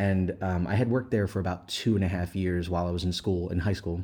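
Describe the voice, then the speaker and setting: A man's dark, mellow tone with an American accent at a moderate pace, quiet background. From Pennsylvania, Philadelphia area. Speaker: chef and knife maker. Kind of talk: casual interview chat. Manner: many filler words.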